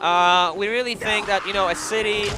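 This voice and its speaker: A man with a non-native accent and a high pitch uses a raised, projected voice with fairly even intonation amid noticeable background noise. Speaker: video game designer. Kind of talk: live demo interview. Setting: live stage at a trade show.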